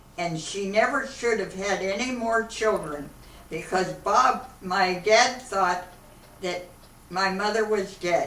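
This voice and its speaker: Woman with an American accent at medium pitch, very slow pace and ordinary pitch variation, amid noticeable background noise and audible room echo. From Akron, Ohio, US Midwest. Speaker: elderly woman telling her life story. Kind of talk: oral history interview.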